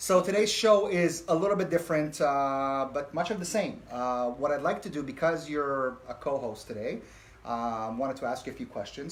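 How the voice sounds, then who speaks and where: Lively intonation marks a man's speech, delivered at a moderate pace. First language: not English. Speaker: talk show host. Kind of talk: casual chat. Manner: hesitant, many fillers.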